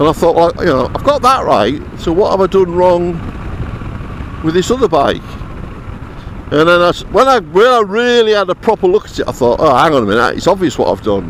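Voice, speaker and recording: A man talks in a high voice with very wide pitch swings and long, frequent pauses. Noticeable background noise runs under him. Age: 70s. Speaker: motorcycle vlogger. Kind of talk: casual vlog monologue. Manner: hesitant, repeats words.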